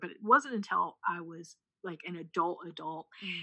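The tone is bright and sharp. A woman talks in an American accent. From US Midwest (rural Missouri). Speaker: preacher and writer. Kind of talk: casual chat. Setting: call.

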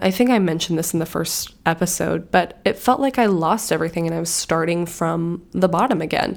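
Soft-spoken and fairly low in pitch, a woman talks at a fairly quick pace. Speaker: podcast host. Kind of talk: casual solo monologue. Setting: home recording.

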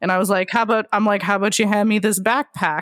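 Recorded very cleanly against a silent background, a woman talks at a very fast pace. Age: 20s. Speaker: podcast host and sex worker. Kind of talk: casual interview chat.

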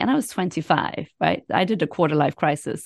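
Dry, close sound with no echo, a quiet background, and a woman's voice. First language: not English. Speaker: career coach. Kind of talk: interview.

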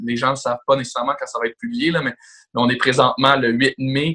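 An ordinary speaking voice from a man, medium pitch, moderate pace. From Quebec, Laval. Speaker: real estate broker. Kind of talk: podcast interview.

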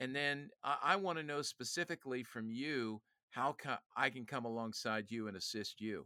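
A man talks at a moderate pace with lively intonation and a bright, sharp tone. The recording is very clean, with a silent background and a dry, close sound with no echo. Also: medium pitch for a man. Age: 60s. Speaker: youth ministry leader and author. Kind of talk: casual interview conversation. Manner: animated, jokes.

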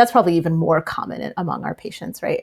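Somewhat breathy and fairly low in pitch, a woman speaks with lively intonation in an American accent. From US East Coast, partly Tennessee. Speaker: physician. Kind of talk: interview. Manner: casual with many fillers.

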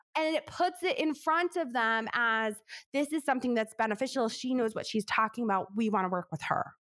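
The voice has an American accent and lively intonation. Its loudness stays very even. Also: woman, high pitch for a woman, fairly quick pace. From New York. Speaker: business coach and author. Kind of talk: interview conversation. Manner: fast talker.

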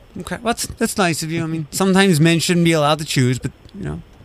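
A man with an American accent speaks in a normal speaking voice, his fairly high pitch carried by lively intonation. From Ohio, Toledo area. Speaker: radio morning show host. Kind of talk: casual morning radio chat.

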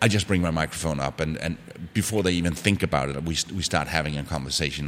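With ordinary pitch variation, a man talks in a very deep, low pitch. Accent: Danish. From Denmark. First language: Danish. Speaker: travel podcaster. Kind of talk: casual interview. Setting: in person. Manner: halting.

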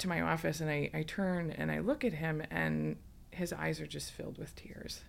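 A woman at a moderate pace, in an Upper Midwest accent. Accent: Upper Midwest American. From West Michigan. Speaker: politician. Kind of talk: casual chat.

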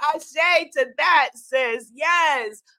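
A woman's raised, projected voice with an American accent, bright and sharp, animated and energetic, with lively intonation. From New York. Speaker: spiritual teacher and online host. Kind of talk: inspirational live talk. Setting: live stream with online audience. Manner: animated, energetic.

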